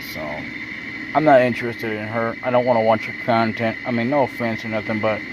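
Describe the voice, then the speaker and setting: A man speaks at a moderate pace in a medium pitch. Audible room echo and noticeable background noise accompany him. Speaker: YouTuber. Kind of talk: casual vlog monologue. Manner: halting, stuttering.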